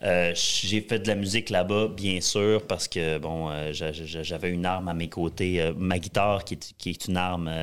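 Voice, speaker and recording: A man's very deep, low voice at a fairly slow pace. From Quebec, Saguenay (Jonquière). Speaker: country singer. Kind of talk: interview.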